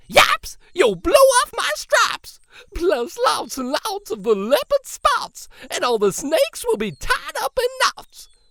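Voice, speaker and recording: Projected in a raised, put-on character voice at an extremely high pitch, the speech moves at a fairly slow pace with very wide pitch swings and hardly any pauses. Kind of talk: children's picture book read-aloud. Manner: yelling.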